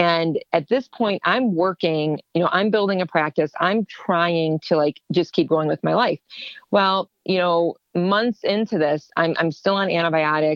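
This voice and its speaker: A woman speaks fairly slowly with an American accent in a fairly low, an ordinary speaking voice. Her pitch varies in an ordinary way. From Ohio, US. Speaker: HSCT patient and therapist. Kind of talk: personal testimony in interview.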